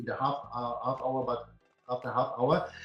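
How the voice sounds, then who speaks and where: A man with a German accent at a fairly quick pace, music in the background. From Germany. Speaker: company founder and CEO. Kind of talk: business webinar presentation. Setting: live webinar. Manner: halting, many fillers.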